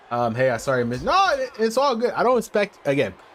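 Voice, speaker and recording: A man with an American accent talks at a very fast pace, his pitch swinging very widely, over noticeable background noise. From Philadelphia, US. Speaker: gaming streamer. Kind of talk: live stream commentary.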